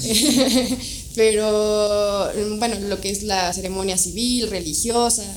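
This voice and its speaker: With noticeable background noise and audible room echo, a woman speaks with fairly even intonation. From Mexico, Toluca. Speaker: wedding and portrait photographer. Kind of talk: casual interview chat.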